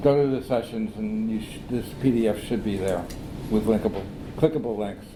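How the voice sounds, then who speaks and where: A man speaks at a medium pitch with fairly even intonation. Noticeable background noise and audible room echo are present. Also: fairly quick pace. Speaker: software developer. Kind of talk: conference talk. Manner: fast.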